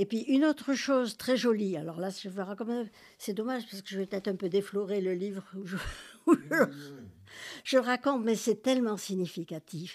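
On a very clean recording with a silent background, a woman at medium pitch makes very wide pitch swings. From Algeria, Algiers. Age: 80s+. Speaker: author. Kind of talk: interview. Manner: halting; animated.

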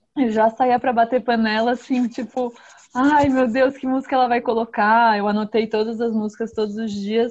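A woman with a strong São Paulo accent in a monotone, flat intonation, at a moderate pace, against a quiet background. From São Paulo, Brazil. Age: young. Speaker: singer-songwriter. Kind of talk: interview.

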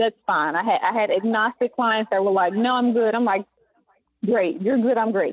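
A woman speaks with a Southern US accent. Her pitch is fairly high. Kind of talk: casual interview chat.

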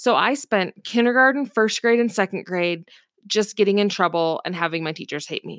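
In an American accent, the speaker uses an animated tone at a moderate pace, with a dry, close sound and no echo. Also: woman, medium pitch for a woman. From US Pacific Northwest, Seattle area. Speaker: podcast host, homeschooling mom and entrepreneur. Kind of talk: casual monologue. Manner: animated, laughing.

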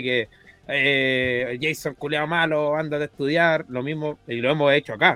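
With noticeable background noise behind him, a man with a Chilean accent speaks at a moderate pace. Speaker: football fan panelist. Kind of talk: casual chat.

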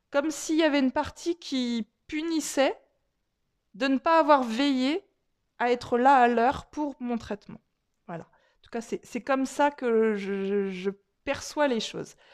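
Speaking at a fairly slow pace with long, frequent pauses, a woman uses a warm, high voice with big swings in loudness, captured in a very clean recording with a silent background. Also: lively intonation, dry, close sound with no echo. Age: 40s. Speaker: energy healer and holistic therapist. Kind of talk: personal storytelling monologue. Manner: warm, chatty with frequent hesitations.

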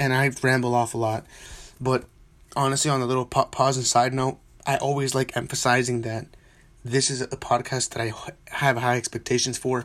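A man mumbles at a fairly quick pace in a monotone, flat intonation. His speech is broken by long, frequent pauses. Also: medium pitch for a man. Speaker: soccer podcast host. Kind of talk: solo podcast monologue. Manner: mumbling; spontaneous, unscripted.

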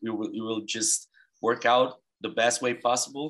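In a very clean recording with a silent background, a man with a Brazilian accent speaks at a moderate pace, with medium pitch and fairly even intonation. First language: Portuguese. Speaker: podcast host. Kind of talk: interview; podcast intro.

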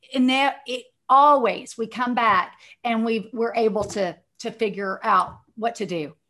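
With a Texan accent, a woman speaks fairly slowly in a fairly high pitch. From Texas, Dallas. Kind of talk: interview, faith testimony.

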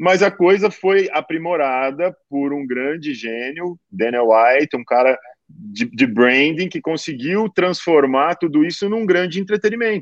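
A man's unremarkable speaking voice, fairly high-pitched, at a fairly slow pace with hardly any pauses, lively intonation, and a dry, close sound with no echo. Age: 40s. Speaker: supplement marketing executive. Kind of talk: casual interview.

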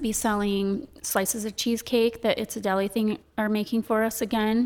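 A fairly high-pitched woman's voice in an American accent, with monotone, flat intonation. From Michigan, US. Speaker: chocolate shop owner. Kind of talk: casual interview chat. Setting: studio.

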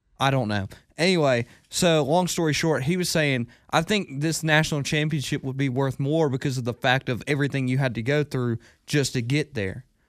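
This man has a fairly high pitch and a normal speaking voice, with ordinary pitch variation at a fairly quick pace. The recording is very clean, with a silent background. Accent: American. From US South (Hartwell, Georgia). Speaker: sports podcast co-host, college student. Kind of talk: casual chat. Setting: studio.

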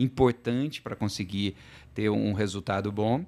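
In a very clean recording with a silent background, a man with a normal speaking voice talks at a fairly low pitch and a moderate pace, keeping his intonation fairly even. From southern Minas Gerais, Brazil. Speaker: logistics executive. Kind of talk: interview conversation.

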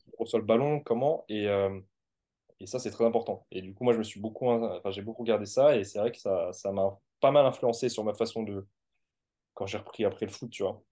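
Against a quiet background, a man with a dark, mellow tone and medium pitch talks at a moderate pace with fairly even intonation. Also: big swings in loudness. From France. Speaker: sports coach. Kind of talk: interview.

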